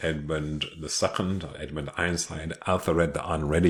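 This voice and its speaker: A man speaks in a very deep, low voice with vocal fry. His pace is moderate and his intonation fairly even. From London, England. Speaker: video creator, family history. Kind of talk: casual genealogy walkthrough. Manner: casual, many fillers.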